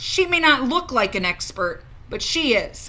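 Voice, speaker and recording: A woman uses a high-pitched put-on character voice with very wide pitch swings at a moderate pace, over light background noise. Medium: read story.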